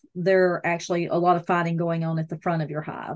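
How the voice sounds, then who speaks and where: A woman with a Southern US accent speaks in a fairly low voice. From US South. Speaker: hobbyist beekeeper, podcast co-host. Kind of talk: casual chat.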